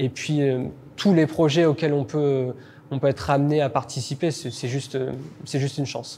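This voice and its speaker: A man speaks at a moderate pace with a dark, mellow tone, a fairly high pitch and fairly even intonation. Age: 30s. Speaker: vocational teacher, baker by training. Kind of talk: interview testimony. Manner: halting, frequent hesitations.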